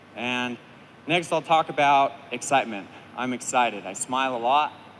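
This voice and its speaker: Loud and bright with a sharp tone, this man's voice sits at medium pitch. He keeps a moderate pace. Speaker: firefighter being promoted to captain. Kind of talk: speech at ceremony.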